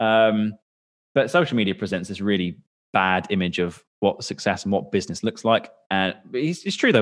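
A man with a normal speaking voice speaks at a moderate pace, his pitch fairly low and his intonation lively. The background is quiet. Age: 20s. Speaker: business owner. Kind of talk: casual chat.

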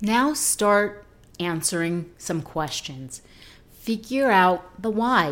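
This woman's pitch sits in the medium range, and her intonation is lively. She speaks at a very slow pace. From New York. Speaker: podcast host. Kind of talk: solo podcast monologue on self-improvement.

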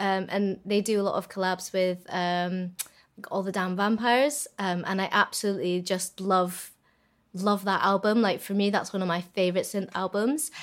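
A woman speaks at a moderate pace with a Scottish accent. Her pitch is medium and her intonation fairly even. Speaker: singer in a band. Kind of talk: casual chat. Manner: halting, fillers.

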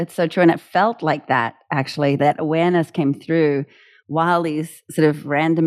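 In a New Zealand accent, a woman speaks at a fairly low pitch and moderate pace, her pitch varying an ordinary amount. The sound is dry and close with no echo, over a quiet background. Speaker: music education founder, former opera singer. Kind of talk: interview.

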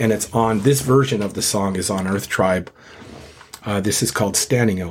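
Against noticeable background noise, a man speaks in a fairly low voice with ordinary pitch variation. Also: moderate pace. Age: 50s. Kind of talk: casual interview.

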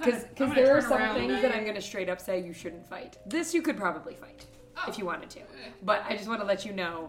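Someone with an American accent talks at a fairly quick pace, with very wide pitch swings and big swings in loudness. Music plays in the background. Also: woman, medium pitch for a woman. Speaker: dungeon master, podcast host. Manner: casual, chatty narration.

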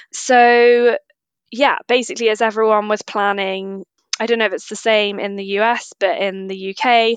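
With a British accent, a woman talks at a moderate pace in a fairly even intonation, the sound dry and close with no echo over a quiet background. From UK. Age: 30s. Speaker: nutritional therapist. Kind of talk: interview.

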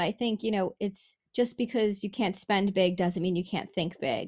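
This woman has an ordinary speaking voice at medium pitch, with ordinary pitch variation. She keeps a moderate pace with hardly any pauses. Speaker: podcast host. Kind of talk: podcast interview.

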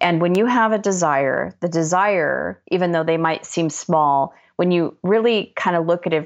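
A woman talks in a plain, everyday voice, fairly low in pitch with ordinary pitch variation, at a moderate pace against a quiet background. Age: 50s. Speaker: author and life coach. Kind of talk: interview.

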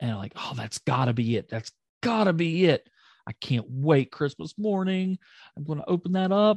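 Over a quiet background, a man with a fairly high pitch and an animated tone uses very wide pitch swings at a moderate pace, in a dry, close sound with no echo. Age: 30s. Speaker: wrestling podcast co-host. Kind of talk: casual chat.

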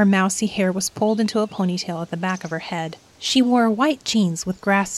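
Pitch moves in an ordinary way through an unforced reading voice.

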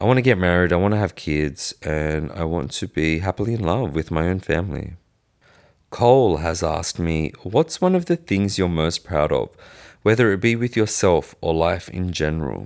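In a very clean recording with a silent background, a man with an Australian accent speaks at a moderate pace. His pitch is very deep and low, with ordinary variation. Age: 20s. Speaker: podcast host. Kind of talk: casual Q&A monologue.

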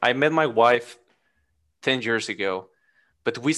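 A man talks at a fairly slow pace with a Spanish accent, his medium pitch showing ordinary variation. The background is quiet. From Mexico. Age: 30s. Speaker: podcast guest. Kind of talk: casual chat. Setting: video call.

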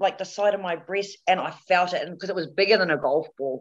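A woman with a New Zealand accent and lively intonation. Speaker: cancer survivor and model. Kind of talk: interview testimony. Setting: video call.

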